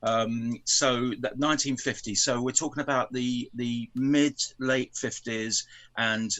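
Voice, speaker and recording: Fairly even intonation from a man with an English accent, at a fairly slow pace. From England. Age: 70s. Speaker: film fan guest. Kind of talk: casual chat.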